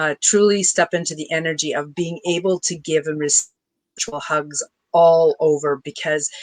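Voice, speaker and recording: Recorded with a dry, close sound and no echo, a woman speaks with a very deep, low pitch and fairly even intonation. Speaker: spiritual coach. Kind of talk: interview. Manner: fast.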